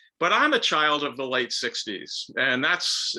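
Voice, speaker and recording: Here a man is speaking. He has a slight New York accent. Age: 70s. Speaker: author and professor. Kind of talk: lecture. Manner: speeds up when excited.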